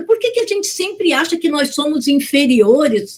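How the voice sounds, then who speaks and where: A woman speaks with a high pitch. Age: 60s. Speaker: lecturer. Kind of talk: public lecture. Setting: video call.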